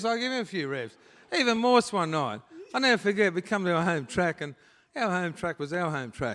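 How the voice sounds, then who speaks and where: A man's high, bright, sharp voice with an Australian accent, fairly quick in pace and with very wide pitch swings, in a very clean recording with a silent background. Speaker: retired speedway driver, hall of fame inductee. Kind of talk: casual on-stage interview. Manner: casual, plain-spoken.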